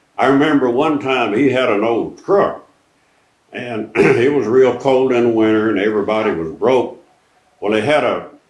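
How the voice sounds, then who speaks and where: A man speaks with an East Texas accent. His pitch is medium and his pace fairly slow. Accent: East Texas Southern American. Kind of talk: interview answer. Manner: folksy storytelling.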